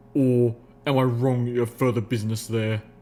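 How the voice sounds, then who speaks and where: A man's put-on character voice, growling and medium-pitched, at a fairly quick pace with monotone, flat intonation. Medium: read story. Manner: dry, stern.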